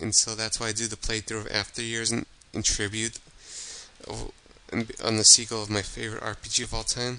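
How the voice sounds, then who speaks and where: A soft-spoken man talks at a medium pitch. His intonation stays fairly even. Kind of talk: casual talk to camera.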